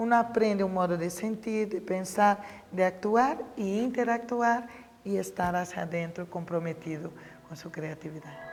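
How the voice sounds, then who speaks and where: With a Brazilian accent, a woman speaks at a fairly slow pace, her pitch varying in an ordinary way and her loudness swinging widely over noticeable background noise. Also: medium pitch for a woman. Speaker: professor of pedagogy. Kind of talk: interview.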